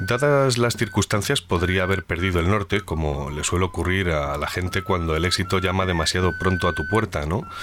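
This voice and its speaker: Over music in the background, a man with a very deep, low pitch talks at a fairly quick pace with hardly any pauses and ordinary pitch variation. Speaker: podcast host. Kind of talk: interview; scripted narration. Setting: outdoors.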